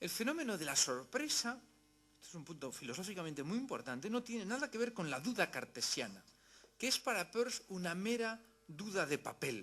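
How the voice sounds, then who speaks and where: With a Spanish accent, a man speaks at a fairly quick pace in a high pitch and a bright, sharp tone, his pitch swinging very widely. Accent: Spanish (Spain). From Spain. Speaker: philosophy lecturer. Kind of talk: lecture. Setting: university hall with audience.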